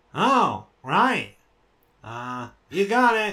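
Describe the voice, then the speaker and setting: A put-on character voice at a middle pitch. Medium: actual play. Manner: deadpan, sarcastic.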